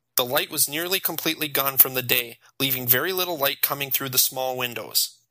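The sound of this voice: It's an unforced reading voice, with ordinary pitch variation.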